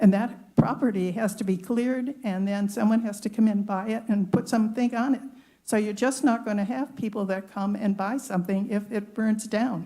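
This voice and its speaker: A woman's somewhat breathy, dark, mellow voice at a fairly high pitch, with fairly even intonation and hardly any pauses. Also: moderate pace. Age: 80s+. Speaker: public commenter. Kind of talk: public comment at a government meeting.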